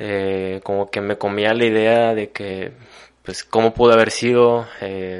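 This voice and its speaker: Fairly low in pitch, this man speaks with monotone, flat intonation. His pace is fairly slow, and the background is quiet. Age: 20s. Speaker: university student. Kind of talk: casual conversation.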